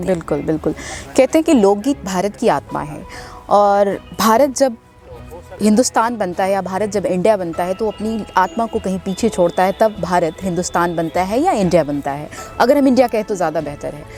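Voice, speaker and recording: A woman at a medium pitch, with music in the background. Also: lively intonation, moderate pace. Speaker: interview host. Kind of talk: interview question.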